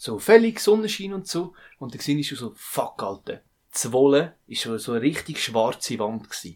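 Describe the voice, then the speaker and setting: At a moderate pace, a man with a fairly high pitch makes very wide pitch swings and big swings in loudness. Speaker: podcast co-host. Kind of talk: casual chat.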